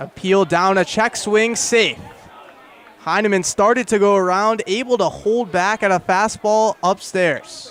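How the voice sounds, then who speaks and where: This man's voice is high, with ordinary pitch variation. He speaks at a fairly slow pace over noticeable background noise. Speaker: radio play-by-play announcer. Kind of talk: radio baseball play-by-play.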